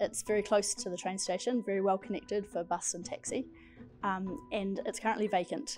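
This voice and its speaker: With music in the background, a woman with a New Zealand accent talks at a fairly quick pace and a medium pitch. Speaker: aspiring property developer. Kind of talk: business pitch.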